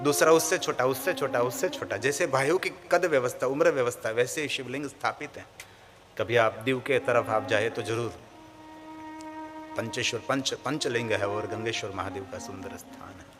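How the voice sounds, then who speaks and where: Over music in the background, a man with a Gujarati accent talks with lively intonation. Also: medium pitch for a man, big swings in loudness. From Gujarat, India (Saurashtra). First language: Gujarati (speaking Hindi). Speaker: spiritual preacher, katha storyteller. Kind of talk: religious discourse (Shiv Purana katha).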